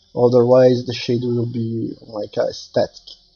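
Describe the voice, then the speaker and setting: A somewhat breathy man's voice at a medium pitch and a very slow pace. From Brazil. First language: Portuguese. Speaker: 3D artist. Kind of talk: tutorial. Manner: halting, many fillers.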